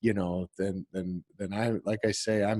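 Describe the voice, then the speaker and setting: A man with a Midwestern US accent speaks at a moderate pace and fairly low pitch, in a dark, mellow tone with a dry, close sound and no echo. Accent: US Midwest. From northern Illinois, Rockford area. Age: 40s. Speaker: college instructor. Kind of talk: online class lecture. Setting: video call. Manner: halting, many repetitions and fillers.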